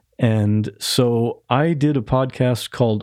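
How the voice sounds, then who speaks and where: Dry and close with no echo and a quiet background, the voice has a dark, mellow tone and ordinary pitch variation. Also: man. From Ohio, US Midwest. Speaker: podcast host. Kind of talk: casual interview chat. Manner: halting, frequent restarts.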